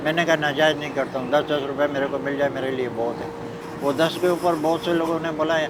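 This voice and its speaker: Over noticeable background noise, a man with a fairly high pitch speaks in a monotone, flat way. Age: 70s. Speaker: street snack seller. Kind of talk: interview answer.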